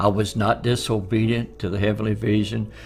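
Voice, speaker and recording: There is music in the background as a man talks. His pitch is medium and his pace moderate. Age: 80s+. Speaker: elderly minister giving testimony. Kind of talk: testimony.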